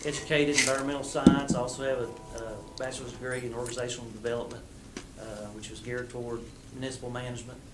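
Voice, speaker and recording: A man with an Appalachian accent talks very fast yet with long, frequent pauses, at a medium pitch in a flat monotone. His loudness swings widely, with audible room echo and noticeable background noise. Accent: local Appalachian hillbilly. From Southwest Virginia (Russell County). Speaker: water utility contractor manager. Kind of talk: council meeting introduction. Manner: halting, many fillers.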